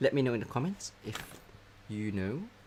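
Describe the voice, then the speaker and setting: Noticeable background noise under a man speaking at a moderate pace. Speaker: craft tutorial host. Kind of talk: tutorial. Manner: tends to mumble when looking down.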